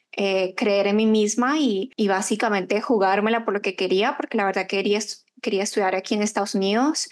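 A woman with a fairly high pitch and ordinary pitch variation, against a quiet background. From Colombia, Bogotá, then Chile. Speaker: marketing agency owner. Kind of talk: interview.

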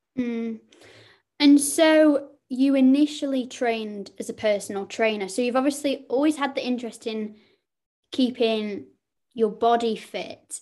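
A woman's high-pitched, dark, mellow tone in a Lancashire accent at a fairly slow pace, on a very clean recording with a silent background. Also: ordinary pitch variation. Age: 20s. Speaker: podcast host. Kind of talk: casual interview.

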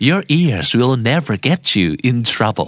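A man with a Thai accent and lively intonation at a fairly slow pace, with noticeable background noise. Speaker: podcast host. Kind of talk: asmr soothing bedtime narration, repeating English phrases with Thai translation. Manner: repetitive, each phrase said two or three times.

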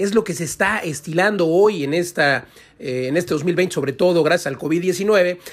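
A man with a high pitch speaks at a moderate pace. His pitch variation is ordinary. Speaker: radio host, real estate expert. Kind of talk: radio editorial commentary. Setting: radio studio.

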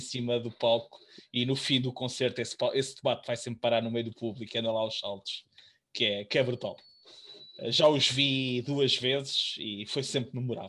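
With a European Portuguese accent, a man talks at a moderate pace in a medium-pitched, bright, sharp voice with monotone, flat intonation. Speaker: podcast co-host. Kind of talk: casual chat.

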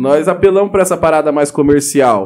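This man speaks at a fairly slow pace. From Mato Grosso do Sul, Brazil (Pantanal region). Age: 20s. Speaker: rapper. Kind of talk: casual chat.

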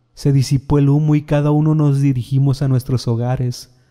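At a fairly slow pace, a man speaks in a dark, mellow tone at medium pitch. His intonation is monotone and flat, and the sound is dry and close with no echo. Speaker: horror storyteller narrating his own story. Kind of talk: first-person horror narration, a recorded confession. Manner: hushed, slow and ominous, building to frantic, desperate denial.

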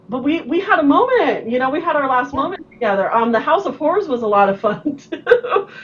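Over noticeable background noise, a woman with a high pitch speaks in an animated tone at a fairly quick pace, with very wide pitch swings and hardly any pauses. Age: 40s. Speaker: podcast host. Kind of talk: casual chat.

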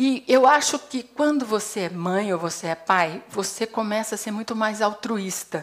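In an unremarkable speaking voice, a woman speaks at a medium pitch with ordinary pitch variation. She talks at a fairly slow pace. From Brazil, Paraná. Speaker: psychologist and HR consultant. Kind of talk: TEDx talk. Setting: stage with audience.

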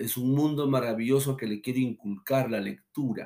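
At a moderate pace and with fairly even intonation, a man speaks in a plain, everyday voice. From Peru, Lima. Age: 40s. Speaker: pastor. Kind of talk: testimony.

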